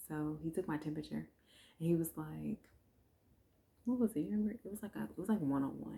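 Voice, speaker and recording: A woman whispers at a very fast pace, with long, frequent pauses. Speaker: vlogger, new mother. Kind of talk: casual chat. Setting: at home, recording late at night. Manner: whispering; low energy.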